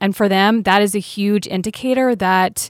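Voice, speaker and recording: It's a normal speaking voice from a woman with a medium pitch, at a moderate pace. The recording is very clean with a silent background and a dry, close sound with no echo. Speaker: addiction treatment specialist. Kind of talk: radio interview.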